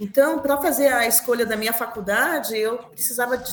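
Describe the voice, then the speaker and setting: A woman's high-pitched voice against noticeable background noise. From Brazil, Curitiba (Paraná). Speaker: linguistics professor. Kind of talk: interview conversation.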